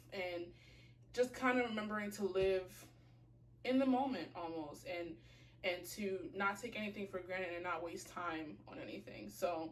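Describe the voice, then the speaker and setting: In a room with audible echo, a woman of medium pitch speaks fairly slowly with lively intonation. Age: 20s. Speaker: fashion and lifestyle blogger. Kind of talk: casual vlog chat. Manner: casual, filler-heavy.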